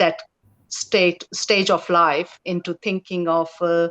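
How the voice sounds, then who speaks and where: Speaking at a very slow pace, a woman with a non-native accent and a fairly low pitch is heard in a dry, close sound with no echo. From India. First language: not English. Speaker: police officer. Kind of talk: career story on a Q&A panel. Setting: live stream panel. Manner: halting, many fillers.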